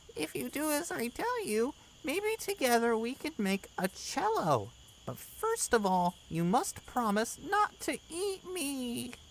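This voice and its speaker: With clear background noise, a female-sounding put-on character voice speaks fairly slowly at a high pitch. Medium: read story. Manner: soft, kindly.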